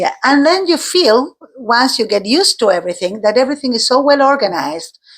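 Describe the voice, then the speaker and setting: A woman with an Argentine accent speaks at a high pitch and a fairly quick pace, her pitch swinging very widely while her loudness stays very even. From Argentina. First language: Spanish. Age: 50s. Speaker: teacher. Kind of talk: interview. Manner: halting.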